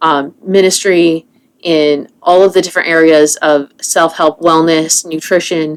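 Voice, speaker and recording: A woman speaks at a fairly slow pace with a fairly low pitch. Her intonation stays monotone and flat. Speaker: wellness coach and podcast host. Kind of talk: solo podcast monologue.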